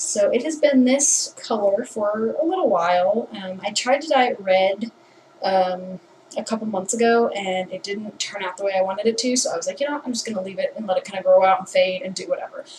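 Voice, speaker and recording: Quietly, a woman talks at a fairly quick pace with medium pitch and ordinary pitch variation. Noticeable background noise is present. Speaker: vlogger. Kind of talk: casual vlog. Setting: bathroom.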